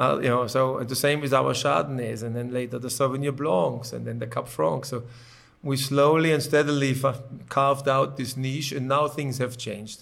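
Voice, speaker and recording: A man with a German accent speaks at a moderate pace with fairly even intonation. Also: medium pitch for a man. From Germany. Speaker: winemaker. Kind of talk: interview.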